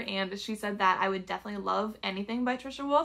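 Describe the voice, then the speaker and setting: Her fairly high voice shows ordinary pitch variation as the woman talks over noticeable background noise. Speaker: booktuber. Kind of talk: casual book haul vlog.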